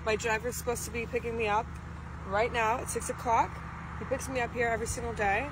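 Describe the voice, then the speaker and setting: Against noticeable background noise, a woman speaks at a very fast pace in a monotone, flat intonation, the sound dry with no echo. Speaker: actor in skit. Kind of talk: scripted skit dialogue. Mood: entitled, annoyed. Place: street. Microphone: phone near.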